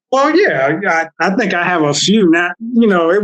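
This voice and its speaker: At a moderate pace, a man with a Southern US accent talks with ordinary pitch variation. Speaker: therapist. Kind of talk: casual chat. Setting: podcast interview. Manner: halting.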